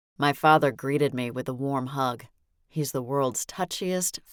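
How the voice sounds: The clip has a natural reading voice with fairly even intonation.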